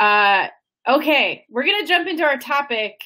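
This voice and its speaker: Projecting a raised voice, a woman speaks in a bright, sharp tone with very wide pitch swings. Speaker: webinar host. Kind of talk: webinar panel discussion. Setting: online webinar.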